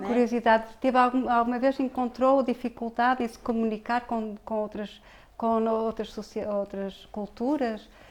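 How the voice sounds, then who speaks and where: A woman's fairly high voice, monotone and flat in intonation, with big swings in loudness and a fairly slow pace. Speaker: interviewer. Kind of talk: interview questions.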